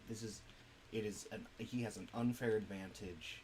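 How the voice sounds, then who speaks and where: Audible room echo and noticeable background noise accompany a man speaking at a fairly low pitch. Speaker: streamer and indie game developer. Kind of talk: casual gaming stream chat. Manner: hesitant, many fillers.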